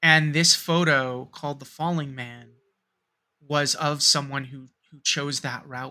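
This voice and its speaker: A man with an American accent speaks at a fairly slow pace, monotone and flat, with a fairly high pitch. His tone is bright and sharp, and his loudness swings widely. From US Northeast (New York metro area). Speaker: podcast co-host. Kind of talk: casual chat. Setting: remote recording.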